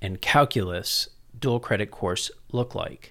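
This man has a fairly low voice with an American accent. The recording is very clean, with a silent background. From San Antonio, Texas. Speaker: education policy researcher, former politician. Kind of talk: interview conversation.

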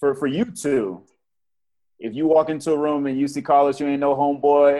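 A man with a fairly high pitch talks at a fairly quick pace in a normal speaking voice. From Portsmouth, Virginia. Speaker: teacher. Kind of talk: casual chat.

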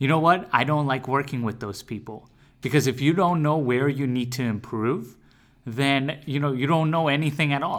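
At a moderate pace, a man talks in a normal speaking voice with medium pitch and ordinary pitch variation. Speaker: podcast co-host. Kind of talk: casual podcast chat.

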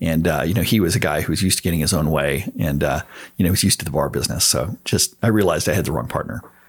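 A man with a Texan accent talks at a very fast pace in a very deep, low voice with vocal fry, ordinary pitch variation and very even loudness. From Texas, San Antonio area. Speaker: entrepreneur. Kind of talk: interview.

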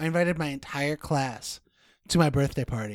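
Moving at a fairly quick pace, a man in a plain, everyday voice holds a fairly high pitch and fairly even intonation. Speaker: podcast guest. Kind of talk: casual chat.

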